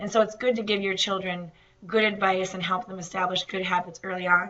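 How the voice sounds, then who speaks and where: In a room with audible echo, a woman speaks at a medium pitch and a fairly quick pace, her intonation monotone and flat. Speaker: nutrition instructor. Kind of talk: lecture. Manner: hesitant, many fillers.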